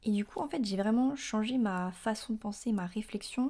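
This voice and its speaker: A woman speaks at a moderate pace with ordinary pitch variation and a fairly high pitch. The recording is very clean, with a silent background. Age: 20s. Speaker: podcaster. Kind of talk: personal monologue. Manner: hesitant with many fillers.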